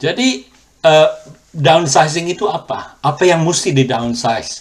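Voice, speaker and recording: A man speaks in a somewhat breathy voice. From Indonesia, then Australia. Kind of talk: testimony. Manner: hesitant, with filler sounds.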